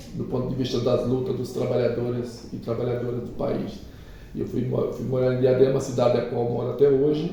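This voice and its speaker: A man at a fairly quick pace, medium in pitch, monotone and flat, with noticeable background noise and audible room echo. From Alagoas, Brazilian Northeast. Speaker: trade union leader. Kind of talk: interview. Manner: halting.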